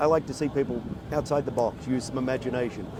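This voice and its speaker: Amid noticeable background noise, a man with an American accent talks at a fairly quick pace, with a medium pitch and fairly even intonation. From Australia. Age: 60s. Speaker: motorcycle builder and judge. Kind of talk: casual interview.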